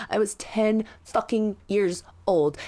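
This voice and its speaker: A woman's fairly high voice carries vocal fry. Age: 30s. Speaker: podcast host. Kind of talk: casual chat. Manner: halting.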